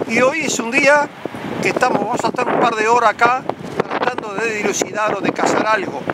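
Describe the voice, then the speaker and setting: A man speaks with an extremely high pitch and ordinary pitch variation at a fairly quick pace. Noticeable background noise is present. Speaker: UFO investigator, video channel host. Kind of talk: outdoor vlog narration to camera. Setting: outdoors on a cliff by the sea.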